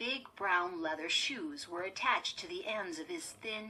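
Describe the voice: Plain reading out loud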